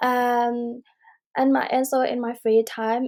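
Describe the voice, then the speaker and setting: A woman's fairly high voice with a dark, mellow tone and monotone, flat intonation. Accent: Burmese. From Myanmar. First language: Burmese. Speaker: university student. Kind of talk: self-introduction video. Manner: halting, many fillers.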